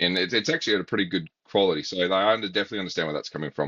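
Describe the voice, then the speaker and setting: Talking very fast, a man with an Australian accent has a very deep, low pitch. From Australia, South Australia. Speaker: baseball academy coach and interviewer. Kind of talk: casual interview chat.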